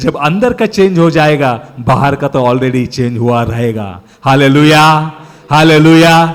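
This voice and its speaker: A man with a Marathi accent, fairly high pitch, and lively intonation. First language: Marathi (speaking Hindi). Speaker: preacher. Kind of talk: sermon.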